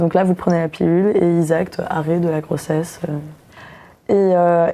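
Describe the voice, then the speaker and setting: In a fairly low pitch, a woman delivers her words fairly slowly. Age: 20s. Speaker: young woman sharing abortion experience. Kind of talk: personal testimony. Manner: hesitant, many fillers.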